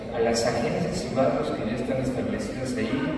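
A man talks at a moderate pace amid noticeable background noise. Strong room echo surrounds his voice. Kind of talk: press statement. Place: hall.

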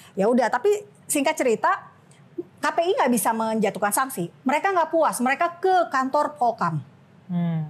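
At a moderate pace, a woman speaks with pitch that swings very widely. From Makassar, Indonesia (Manado family); Indonesia. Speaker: journalist and activist; journalist. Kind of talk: casual interview. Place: studio.

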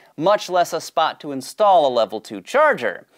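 A man's high-pitched voice at a moderate pace, with very wide pitch swings. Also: quiet background. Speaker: show host. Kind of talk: explainer presentation. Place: studio. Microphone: lapel.

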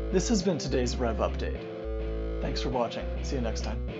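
Clear music plays in the background as a man speaks. His pace is moderate and his pitch variation ordinary. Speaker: car vlogger. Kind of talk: casual vlog chat. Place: open country. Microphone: lapel.

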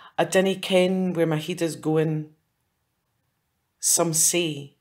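A woman in a Scottish accent, fairly low in pitch, monotone and flat, at a fairly slow pace. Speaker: poet. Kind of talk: poetry reading.

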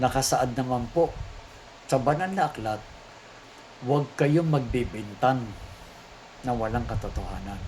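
Using ordinary pitch variation, a man speaks at a fairly slow pace with long, frequent pauses. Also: medium pitch for a man. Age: 60s. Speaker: priest and exorcist. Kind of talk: religious teaching and product pitch.

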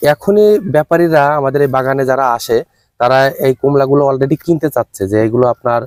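This man has an unremarkable speaking voice, fairly high in pitch, with very even loudness and ordinary pitch variation. The sound is dry and close with no echo. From Bangladesh, Chuadanga district. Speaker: agricultural entrepreneur, orange grower. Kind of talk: on-site interview.

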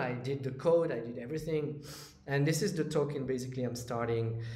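A man talks at a moderate pace and a medium pitch, with ordinary pitch variation. Background noise is noticeable. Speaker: crypto YouTuber and trader. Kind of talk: monologue to camera, casual vlog. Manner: casual, hesitant with fillers.

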